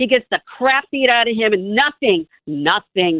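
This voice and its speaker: A woman with an American accent talks fairly slowly with lively intonation in a normal speaking voice. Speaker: caller. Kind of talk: call-in talk radio. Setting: phone call. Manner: emotional.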